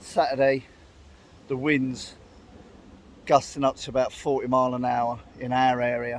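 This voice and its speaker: A man speaks at a moderate pace and medium pitch, with long, frequent pauses. His intonation is monotone and flat. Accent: English. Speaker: outdoors and camping vlogger. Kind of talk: casual vlog talk to camera. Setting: outdoors in woodland. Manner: speaking up loudly over the wind.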